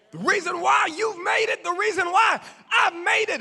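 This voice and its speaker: A shouting man at an extremely high pitch, animated in tone, with noticeable background noise. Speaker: pastor. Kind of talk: sermon. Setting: church with congregation. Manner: rhythmic repetition; animated, shouting.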